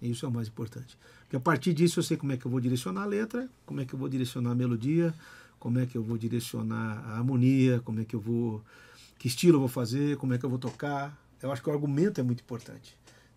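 A man's somewhat breathy, dark, mellow voice at medium pitch, very fast, with ordinary pitch variation. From Brazil. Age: 50s. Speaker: guitarist and singer; podcast guest. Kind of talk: casual chat. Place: studio. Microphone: studio mic.

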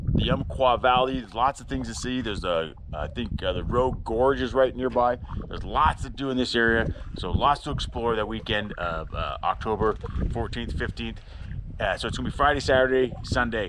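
The man's voice has a dry sound with no echo, set against noticeable background noise. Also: fairly quick pace. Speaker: travel vlogger. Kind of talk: casual vlog chat. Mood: upbeat and relaxed. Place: open country. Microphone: phone near.

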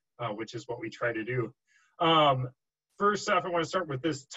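A man talks at a fairly quick pace in a bright, sharp tone. The background is quiet. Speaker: guest. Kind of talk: lecture. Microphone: video call.

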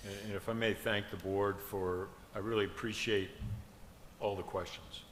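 Audible room echo surrounds a man whose fairly low pitch stays monotone with flat intonation. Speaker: school superintendent. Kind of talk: public board meeting. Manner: passionate, can sound intense.

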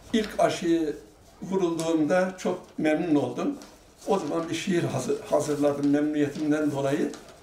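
A man with a fairly high voice speaks at a fairly slow pace and fairly even intonation, with audible room echo and light background noise. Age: 80s+. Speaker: vaccinated elderly resident. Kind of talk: casual talk to camera. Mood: pleased, grateful. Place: home room.

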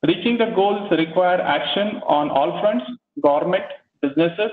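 A man talks with ordinary pitch variation while the room's echo is audible around him. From India. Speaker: assistant professor and webinar moderator. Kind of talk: formal presentation and Q&A moderation. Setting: video call. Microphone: video call.

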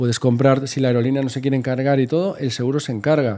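At a very fast pace, a man with a dark, mellow tone and fairly high pitch speaks with fairly even intonation. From Spain. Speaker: travel blogger. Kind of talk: casual chat. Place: home room. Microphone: studio mic.

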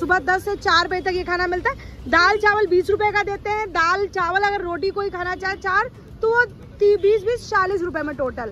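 A woman with an extremely high pitch uses a raised, projected voice at a fairly slow pace, recorded dry with no echo and light background noise. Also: ordinary pitch variation. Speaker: street food vlogger. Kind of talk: casual food vlog talk to camera. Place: street. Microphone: phone near.

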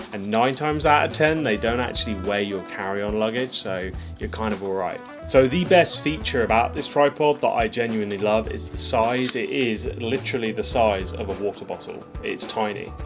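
Speech at a moderate pace is accompanied by clear music in the background. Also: man. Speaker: gear reviewer. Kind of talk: product review vlog. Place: home room.

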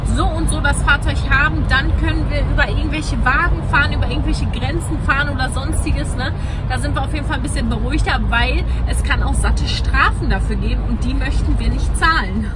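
With music in the background, a woman talks at a fairly quick pace. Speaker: travel vlogger. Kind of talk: casual vlog chat.

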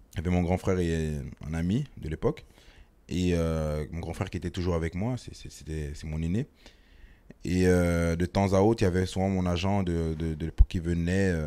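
In a very deep, low voice with a dark, mellow tone, a man speaks at a fairly slow pace with fairly even intonation and long, frequent pauses. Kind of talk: interview answer. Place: office. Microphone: handheld.

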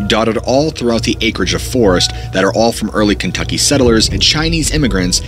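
A man talks at a very fast pace. The sound is dry with no echo, and faint music plays in the background. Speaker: horror storyteller youtuber. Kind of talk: narrated storytelling. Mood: dark, suspenseful. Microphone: studio mic.

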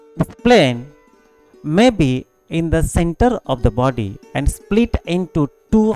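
The speech moves at a fairly slow pace. Faint music plays in the background, and the sound is dry with no echo. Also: man. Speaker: college physical education teacher. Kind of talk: lecture.

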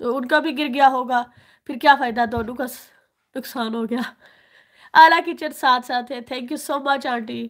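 A woman's high-pitched voice with fairly even intonation and big swings in loudness. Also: fairly slow pace, very clean recording, silent background. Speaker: YouTuber. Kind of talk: live stream chat.

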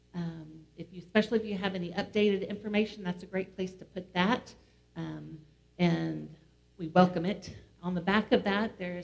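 The pace of this woman's speech is moderate. She keeps her intonation fairly even. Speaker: pastor leading worship. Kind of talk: worship announcements. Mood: warm, welcoming. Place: church.

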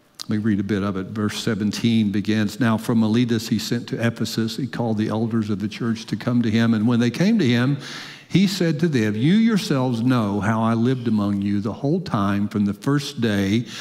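Against a quiet background, a man talks at a moderate pace with ordinary pitch variation and hardly any pauses. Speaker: preacher. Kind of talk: sermon. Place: church. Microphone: headset.

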